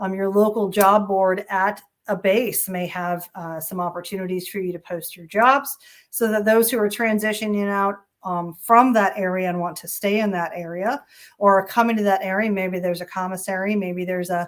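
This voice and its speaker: A woman speaks at a medium pitch with fairly even intonation. Her loudness swings widely. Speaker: HR executive and conference presenter. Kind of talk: conference presentation. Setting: online summit session, recorded. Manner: fast.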